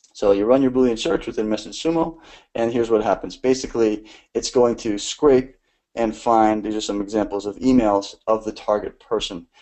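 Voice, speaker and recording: A man is talking at a medium pitch. His pitch variation is ordinary. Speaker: growth marketing instructor. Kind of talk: online lecture. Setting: live stream. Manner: fast.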